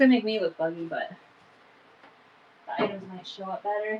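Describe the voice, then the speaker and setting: A woman's fairly high, lively voice at a fairly quick pace over noticeable background noise. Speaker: online vintage seller. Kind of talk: live sales stream. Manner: casual, chatty.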